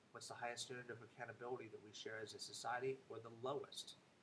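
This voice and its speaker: Somewhat breathy, a man talks at a very fast pace. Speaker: vlogger. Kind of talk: casual monologue to camera. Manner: hesitant, many fillers.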